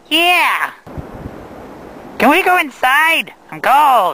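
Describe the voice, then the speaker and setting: This is a man. He performs a cartoonish character voice. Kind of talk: outdoor street interviews. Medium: puppet.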